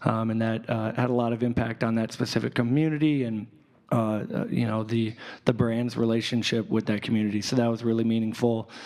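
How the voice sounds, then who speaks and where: With an American accent, a man talks at a fairly quick pace in a medium pitch, his intonation monotone and flat. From Chicago south suburbs. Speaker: advertising music director. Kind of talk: live panel discussion.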